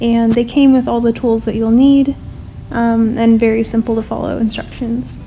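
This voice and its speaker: Over noticeable background noise, a woman talks at a moderate pace in a fairly high, monotone, flat voice. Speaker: home gardener. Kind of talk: voice-over narration.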